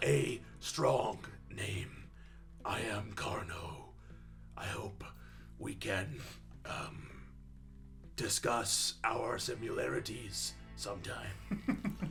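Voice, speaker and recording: In a put-on character voice, a man whispers at a very slow pace with long, frequent pauses. Clear background noise sits under him. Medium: actual play. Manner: formal, stiff.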